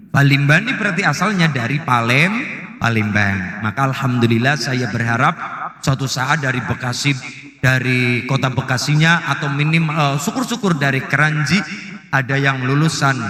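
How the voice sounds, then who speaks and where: A man with a Banyumas accent, fairly high pitch and ordinary pitch variation at a moderate pace, amid noticeable background noise. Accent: Banyumasan (Ngapak) Javanese. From Central Java, Banyumasan. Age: 20s. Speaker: Islamic preacher. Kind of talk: religious sermon to live audience.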